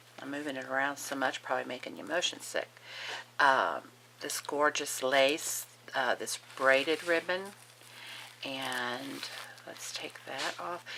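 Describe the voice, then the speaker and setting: A woman with long, frequent pauses and big swings in loudness, against noticeable background noise. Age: 60s. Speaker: crafting youtuber. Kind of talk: casual show-and-tell. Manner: animated.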